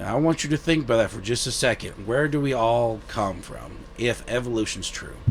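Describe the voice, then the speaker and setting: A man speaks with a Southern US accent. Noticeable background noise can be heard. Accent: Southern drawl. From US South. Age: 30s. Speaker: guest sharing faith testimony. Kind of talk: testimony. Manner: halting.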